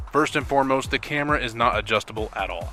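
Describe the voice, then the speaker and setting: A man talks at a very fast pace with music in the background. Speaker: game reviewer. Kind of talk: video game review voiceover.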